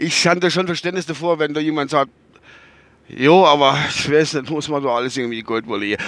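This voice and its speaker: At a very fast pace, a man talks in a fairly high pitch with ordinary pitch variation. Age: 50s. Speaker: vlogger. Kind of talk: casual monologue. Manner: rambling, halting.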